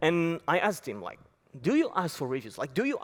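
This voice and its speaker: Talking at a fairly quick speed, a man speaks in a French accent. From France. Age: 20s. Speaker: app company founder. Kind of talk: conference talk. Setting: stage with audience.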